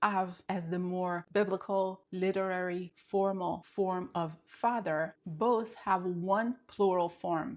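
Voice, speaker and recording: A woman at medium pitch with an Israeli accent, a very slow pace and fairly even intonation, on a very clean recording with a silent background. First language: Hebrew. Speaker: Hebrew teacher. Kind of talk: language lesson talk to camera.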